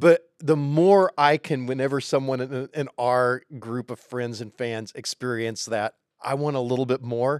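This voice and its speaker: In an ordinary speaking voice, a man talks at a fairly slow pace with hardly any pauses, medium pitch and ordinary pitch variation, recorded with a dry, close sound and no echo. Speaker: narrative development head at game studio. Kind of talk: casual interview conversation.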